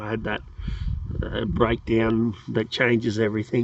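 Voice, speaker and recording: A man is speaking. He has an Australian accent. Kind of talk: casual talk to camera. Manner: rambling, hesitant.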